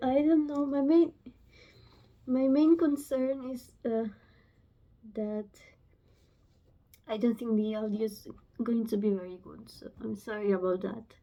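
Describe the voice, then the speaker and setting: A woman with a Romanian accent speaks at a fairly high pitch, with big swings in loudness and long, frequent pauses. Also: ordinary pitch variation, fairly slow pace. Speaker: book vlogger. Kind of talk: casual vlog talk to camera. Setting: home, filming on phone. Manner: halting. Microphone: phone mic, no microphone.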